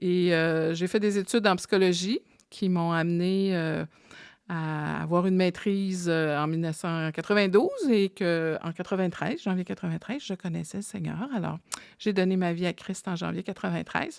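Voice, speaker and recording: A normal speaking voice moves at a moderate pace with fairly even intonation. The recording is very clean, the background silent. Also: woman, fairly low pitch for a woman. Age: 50s. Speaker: psychologist and podcast co-host. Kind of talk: casual chat.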